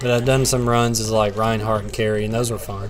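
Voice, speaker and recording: A man with a Southern US accent speaks at medium pitch and a moderate pace. Audible room echo and noticeable background noise are present. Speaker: gaming streamer. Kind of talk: casual live stream chat while gaming.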